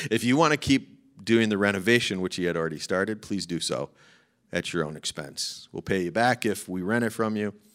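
This unremarkable speaking voice carries an American accent and lively intonation at a fairly quick pace. The recording is very clean, with a silent background. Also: man, fairly low pitch for a man. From Chicago. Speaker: pastor. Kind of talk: sermon. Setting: church.

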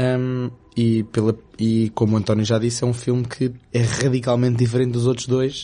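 A man speaks in a dark, mellow tone. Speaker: film podcast co-host. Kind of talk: casual chat.

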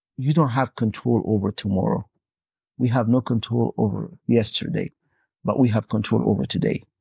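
Against a quiet background, a man with a non-native accent speaks at a medium pitch with vocal fry, a dark, mellow tone and ordinary pitch variation, the sound dry and close with no echo. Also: moderate pace, very even loudness. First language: not English. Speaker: imam. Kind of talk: casual interfaith conversation.

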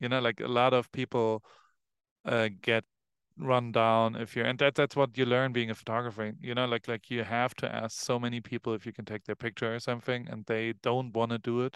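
In a German accent, a man talks fairly quickly at a medium pitch with monotone, flat intonation, the sound dry and close with no echo against a quiet background. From Germany, Heidelberg. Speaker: photographer. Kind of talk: casual chat.

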